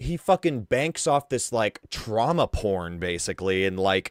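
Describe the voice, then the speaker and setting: In a very clean, dry and close recording with no echo and a silent background, a man with a fairly low voice sounds animated, his intonation lively. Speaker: live streamer, internet drama commentator. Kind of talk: live stream commentary.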